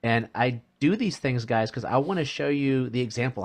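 Against a quiet background, a man with an unremarkable speaking voice talks fairly quickly with ordinary pitch variation. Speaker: podcast host. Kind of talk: casual interview chat.

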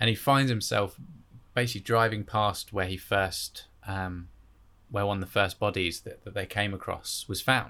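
A man speaks with an English accent at a moderate pace, his pitch fairly low and his tone bright and sharp. The intonation stays fairly even, and the recording is very clean with a silent background. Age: 20s. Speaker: podcast host. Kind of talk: casual chat.

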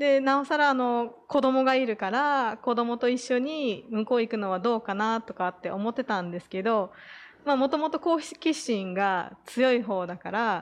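A woman talks in a normal speaking voice at a moderate pace, fairly high in pitch with lively intonation. The background is quiet. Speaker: former expat parent. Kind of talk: casual chat.

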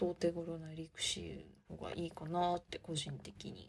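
A woman's somewhat breathy voice. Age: 20s. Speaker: podcast host. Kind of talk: casual monologue. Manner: speeds up when excited.

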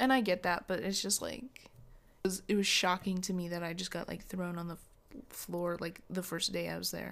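A woman speaks at a moderate pace in a plain, everyday voice, her fairly low pitch carried on fairly even intonation over a very clean recording with a silent background. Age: young. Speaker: podcast co-host, restaurant server. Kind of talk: casual chat.

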